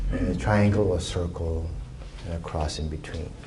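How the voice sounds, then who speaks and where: Over noticeable background noise and audible room echo, a man speaks at a moderate pace in a very deep, low pitch. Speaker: Taoist teacher and doctor. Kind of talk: dharma talk to a meditation group.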